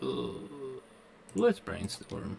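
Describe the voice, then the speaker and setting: A man speaks with ordinary pitch variation while noticeable background noise runs behind him. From Kentucky. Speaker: gaming streamer. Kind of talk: live game stream commentary. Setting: live stream. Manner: casual.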